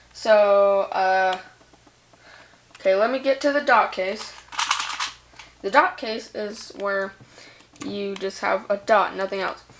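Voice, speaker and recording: Over noticeable background noise, a woman speaks very slowly at a medium pitch with ordinary pitch variation and long, frequent pauses. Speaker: hobbyist video tutor. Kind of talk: tutorial. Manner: halting.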